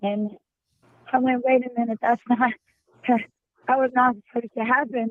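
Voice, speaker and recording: This woman talks at a fairly slow pace in a fairly high pitch. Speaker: caller. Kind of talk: casual chat. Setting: phone call.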